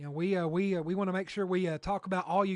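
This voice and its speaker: Against a quiet background, a man with a Kentucky accent talks at a high pitch. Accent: southern US (Kentucky). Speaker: radio weather broadcaster. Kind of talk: live severe weather coverage. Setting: radio studio with livestream. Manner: halting, many fillers.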